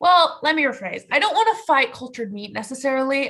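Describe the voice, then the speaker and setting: Over a quiet background, a woman speaks loudly with lively intonation. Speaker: animal science student or young professional. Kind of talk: group discussion on video call.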